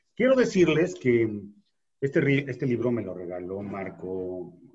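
Very slow speech from a man, medium in pitch and somewhat breathy, with very wide pitch swings. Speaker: podcast host. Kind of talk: casual chat.

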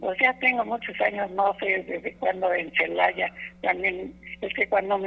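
Fairly slow speech from a woman, noticeable background noise around her. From Mexico, Guanajuato (Cortazar). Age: old. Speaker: radio caller, elderly sponsor. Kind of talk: casual phone chat. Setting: phone call. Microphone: dropped phone line.

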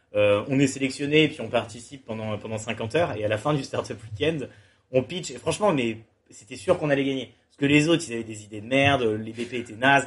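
Man with a normal speaking voice at medium pitch, fairly quick pace and ordinary pitch variation. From France, Le Mans. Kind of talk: casual chat. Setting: startup incubator premises, Toulouse.

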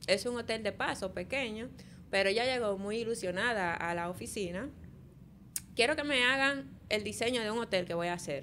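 In a southern Dominican accent, a woman with a fairly high pitch talks at a moderate pace with lively intonation. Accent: southern Dominican, swaps L and R. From Dominican Republic, south (Barahona). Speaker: architect. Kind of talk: casual interview.

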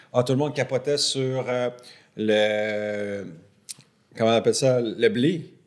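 Speaking in a Quebec accent, a man talks at a very slow pace with long, frequent pauses and ordinary pitch variation. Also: medium pitch for a man. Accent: Québécois French. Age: 40s. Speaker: podcast co-host. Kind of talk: casual chat.

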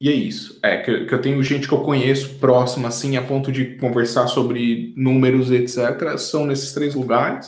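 Speaking with a São Paulo accent, a man at medium pitch keeps a moderate pace with hardly any pauses. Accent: Brazilian Portuguese (paulistano). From Brazil, São Paulo. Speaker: software engineer. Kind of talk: casual interview chat. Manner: animated, slangy.

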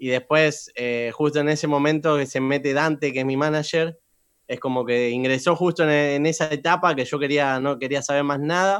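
A man with a Rioplatense accent speaks at a moderate pace and a fairly high pitch. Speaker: trap singer. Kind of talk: interview.

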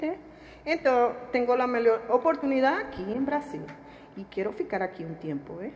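A woman with a Spanish accent and a high pitch, very wide pitch swings, a moderate pace and noticeable background noise. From Venezuela. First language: Spanish (speaking Portuguese). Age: 40s. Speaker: refugee worker at a utility company. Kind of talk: interview. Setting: studio. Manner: halting.

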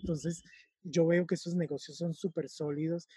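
A man with a high pitch and a dark, mellow tone is heard in a dry, close sound with no echo. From Colombia–Venezuela border (Cúcuta). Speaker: fashion business consultant. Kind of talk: interview.

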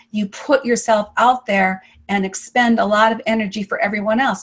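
A woman's fairly high, ordinary speaking voice at a moderate pace with ordinary pitch variation. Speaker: online show host. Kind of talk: interview. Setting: video call.

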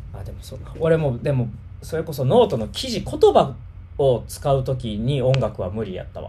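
In a Kansai accent, a man speaks at a moderate pace with big swings in loudness, audible room echo and noticeable background noise. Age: 30s. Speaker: livestream host. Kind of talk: casual chat.

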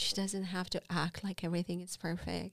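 A woman of medium pitch speaks with a Romanian accent in a monotone, flat intonation. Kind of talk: testimony. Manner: halting.

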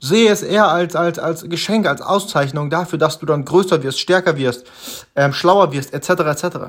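A man with a high-pitched voice speaks at a moderate pace, with ordinary pitch variation. The recording is very clean, with a silent background. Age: 20s. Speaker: self-improvement podcaster. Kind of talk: solo motivational monologue. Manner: halting, many fillers.

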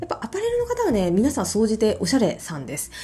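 A woman talks at a very fast pace while noticeable background noise carries on. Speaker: image consultant. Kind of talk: solo podcast talk.

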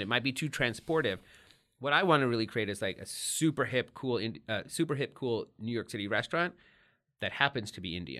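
With an American accent, a man speaks at a very fast pace in a bright, sharp tone with lively intonation. The recording is very clean, with a silent background. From Texas, Dallas area. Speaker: event marketing entrepreneur and party host. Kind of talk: casual chat.

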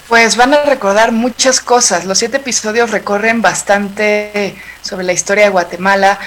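A woman talks at a moderate pace with hardly any pauses, her medium-pitched voice keeping fairly even intonation over noticeable background noise. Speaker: podcast producer. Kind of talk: interview.

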